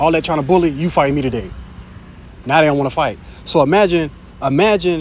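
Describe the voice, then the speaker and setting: Amid audible room echo, a man speaks at a fairly quick pace in a fairly high voice with ordinary pitch variation. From Jacksonville, Florida, US South. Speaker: street preacher / bible teacher. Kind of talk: informal sermon. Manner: fast; animated.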